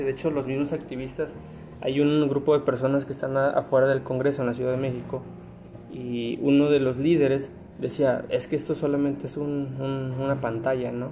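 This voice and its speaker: Over noticeable background noise, a man with a fairly high voice talks at a fairly quick pace. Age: 20s. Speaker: podcast host. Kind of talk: casual chat.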